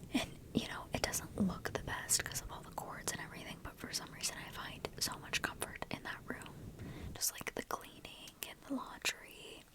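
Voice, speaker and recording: Whispering at a moderate pace, the voice shows big swings in loudness over noticeable background noise. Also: woman. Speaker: ASMR creator. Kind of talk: ASMR whispered ramble. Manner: whispered, soft.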